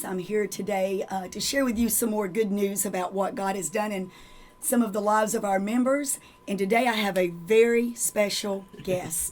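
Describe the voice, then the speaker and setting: A woman speaks in a plain, everyday voice at a medium pitch and a moderate pace. Her intonation is fairly even. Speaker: church member hosting a testimony program. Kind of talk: introducing a guest to viewers.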